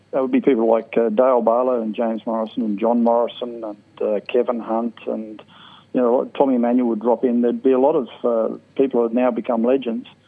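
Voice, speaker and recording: Very fast, monotone, flat speech from a man in an Australian accent. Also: medium pitch for a man. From South Australia, Port Augusta. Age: 50s. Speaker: jazz clarinetist. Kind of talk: interview.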